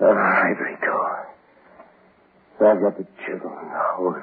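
A man's slow, put-on character voice, low in pitch with a husky, rough edge and ordinary pitch variation.

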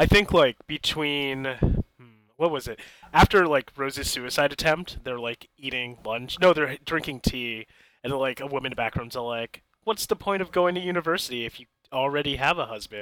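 With an ordinary speaking voice, a man talks at a moderate pace and fairly high pitch, showing ordinary pitch variation and big swings in loudness. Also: dry, close sound with no echo. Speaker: podcast co-host and amateur film reviewer. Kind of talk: casual chat.

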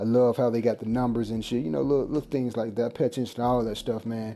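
This man's dark, mellow voice moves at a fairly quick pace with fairly even intonation. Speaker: gaming podcast host. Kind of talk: casual solo monologue. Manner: casual, filler-heavy.

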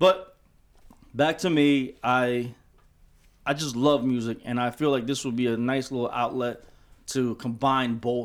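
An unremarkable speaking voice from a man at medium pitch, with fairly even intonation, on a very clean recording with a silent background. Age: 40s. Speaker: podcast co-host, DJ. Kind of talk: casual chat.

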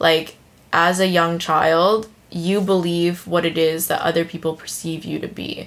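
A woman's fairly low, monotone voice with flat intonation and an American accent. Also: fairly slow pace. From United States. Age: 20s. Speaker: podcast host, new mother. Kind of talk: casual chat.

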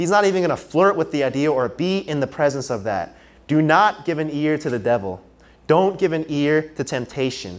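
His intonation is lively and his pitch fairly high. The man has an unremarkable speaking voice and keeps a moderate pace. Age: 20s. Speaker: preacher. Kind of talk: sermon. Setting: church service, live.

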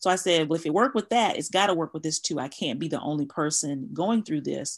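Against a quiet background, a woman with a very deep, low pitch speaks at a fairly quick pace with ordinary pitch variation. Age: 40s. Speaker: coach on mother wounds. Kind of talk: interview. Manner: halting.

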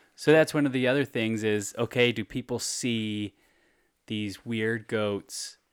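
A man with an American accent has an unremarkable speaking voice at a medium pitch, with fairly even intonation and a fairly slow pace. The recording is very clean with a silent background, and the sound is dry and close with no echo. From California, Bay Area. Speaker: podcast co-host and producer. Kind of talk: casual chat.

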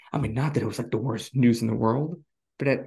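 A man's voice with vocal fry and a dark, mellow tone. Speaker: podcast host. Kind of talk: casual chat.

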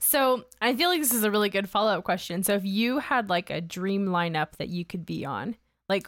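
A woman with an American accent speaks at a moderate pace in a normal speaking voice, with ordinary pitch variation. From US South, Georgia (Augusta). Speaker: podcast host. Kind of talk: casual interview.

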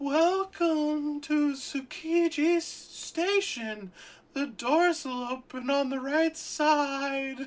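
In a put-on character voice, the speaker talks at a very slow pace with a high pitch. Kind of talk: flat announcement.

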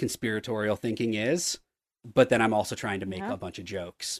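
A man with a normal speaking voice talks at a medium pitch with ordinary pitch variation over a quiet background. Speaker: comic book writer. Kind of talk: casual chat.

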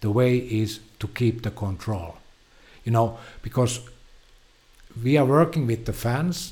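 Speaking at a fairly slow pace with long, frequent pauses, a man with a Finnish accent sounds somewhat breathy and uses ordinary pitch variation. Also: medium pitch for a man. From Finland. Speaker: film producer. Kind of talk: casual interview. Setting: studio. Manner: halting, repeats words.

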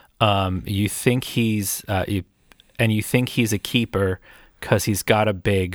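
A man with an American accent, fairly low pitch and fairly even intonation at a moderate pace, in a dry, close sound with no echo on a very clean recording with a silent background. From US, Erie, Pennsylvania. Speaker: music podcast co-host. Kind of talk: casual chat. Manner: halting.

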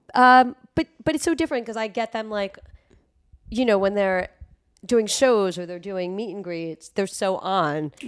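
A woman's unremarkable speaking voice at medium pitch, with lively intonation, a fairly slow pace and big swings in loudness. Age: 40s. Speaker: music industry promotions executive. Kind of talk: casual chat.

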